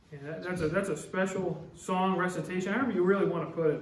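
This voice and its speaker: Audible room echo surrounds a man speaking at a high pitch. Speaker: pastor. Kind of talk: church sermon. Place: church. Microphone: podium.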